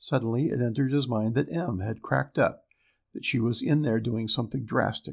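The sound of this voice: The background is quiet. An unforced reading voice moves with ordinary pitch variation.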